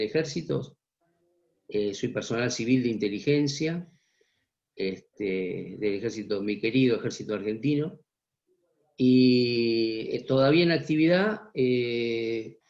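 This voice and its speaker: With lively intonation and a fairly slow pace, a man of medium pitch talks in a normal speaking voice. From Buenos Aires area, Argentina (Vicente López). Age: 60s. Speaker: journalist and former army intelligence officer. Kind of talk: interview.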